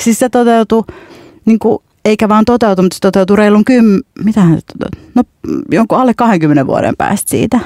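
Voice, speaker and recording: Long pauses come often, interrupting speech delivered at a moderate speed. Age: 30s. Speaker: novelist. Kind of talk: casual chat.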